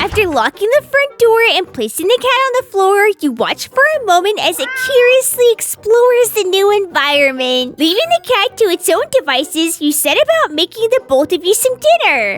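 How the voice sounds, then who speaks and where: Her pitch extremely high, a woman speaks at a moderate pace with very wide pitch swings. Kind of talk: spooky story narration. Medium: machinima. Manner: descriptive, lightly dramatic.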